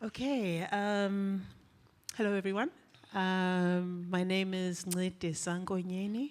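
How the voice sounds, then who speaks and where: A woman speaks at a very slow pace. Her voice is shaky. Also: medium pitch for a woman. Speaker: panel moderator. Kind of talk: panel discussion introduction. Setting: live festival stage with audience. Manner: shaky voice; hesitant, many fillers.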